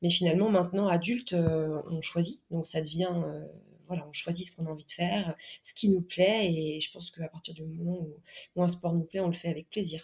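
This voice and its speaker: Somewhat breathy and fairly low in pitch, a woman talks at a fairly quick pace with fairly even intonation. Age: 30s. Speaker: guest sharing pregnancy and sport experience. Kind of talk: podcast interview testimony. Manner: halting, many fillers and repetitions.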